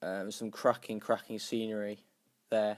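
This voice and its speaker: The recording is very clean, with a silent background. A man talks at a fairly quick pace in a monotone, flat intonation. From northern England, North Yorkshire. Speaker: YouTuber and cyclist. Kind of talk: casual vlog explainer. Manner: hesitant, many fillers.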